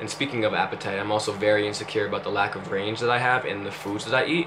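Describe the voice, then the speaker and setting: There is audible room echo around this man's fairly low-pitched voice. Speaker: vlogger. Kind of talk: personal vlog confession. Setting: talking to camera. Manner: halting.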